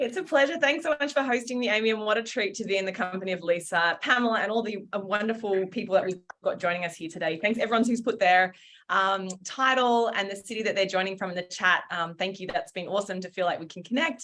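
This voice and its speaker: A woman with an Australian accent talks at a very fast pace with hardly any pauses, her bright, sharp tone showing ordinary pitch variation. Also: medium pitch for a woman. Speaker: founder and former journalist. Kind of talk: webinar talk. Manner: casual, many fillers.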